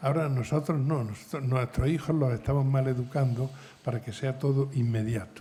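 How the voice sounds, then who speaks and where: The tone is dark and mellow and somewhat breathy. Intonation stays fairly even. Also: man. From Spain. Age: 70s. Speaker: novelist. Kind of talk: panel discussion.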